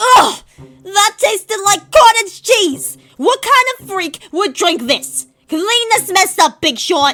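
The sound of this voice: A woman uses a put-on character voice at an extremely high pitch, with a bright, sharp tone. She speaks at a slow pace with lively intonation.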